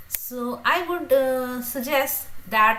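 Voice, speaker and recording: A woman speaks with a bright, sharp tone. Room echo is audible. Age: 50s. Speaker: teacher and youtuber. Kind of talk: livestream Q&A chat. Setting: livestream. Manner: halting with fillers.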